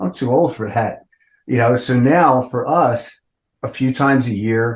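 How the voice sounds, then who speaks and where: An ordinary speaking voice from a man, medium in pitch with ordinary pitch variation, moves at a fairly slow pace. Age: 60s. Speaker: rock band vocalist. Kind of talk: interview. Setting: podcast interview. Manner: casual, conversational.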